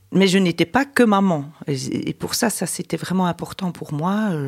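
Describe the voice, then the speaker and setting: A woman with a fairly low pitch, lively intonation and a fairly slow pace. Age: 50s. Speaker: mother of the host. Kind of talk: personal testimony. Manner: halting.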